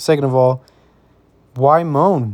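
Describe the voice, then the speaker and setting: A man's medium-pitched voice, dark and mellow in tone, with fairly even intonation. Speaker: fitness vlogger. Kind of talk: voiceover narration. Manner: monotone; casual, with many fillers.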